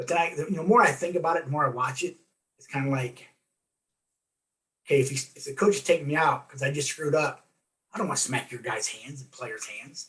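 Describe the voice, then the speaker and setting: The speaker talks at a very fast pace, with ordinary pitch variation and big swings in loudness. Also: man, fairly high pitch for a man. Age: 60s. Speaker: former coach and athletic director. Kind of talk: interview. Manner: halting.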